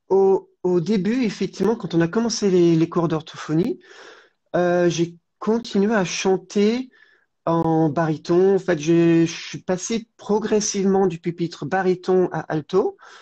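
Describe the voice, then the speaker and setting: A woman speaks at a very slow pace. Her pitch sits in the middle range, with ordinary variation. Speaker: former voice therapy patient. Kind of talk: interview. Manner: calm.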